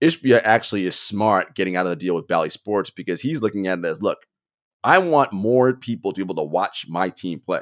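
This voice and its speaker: With a normal speaking voice, a man with a fairly low pitch talks at a fairly quick pace with lively intonation, the sound dry and close with no echo on a very clean recording with a silent background. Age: 40s. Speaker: basketball podcast host. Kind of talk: casual chat.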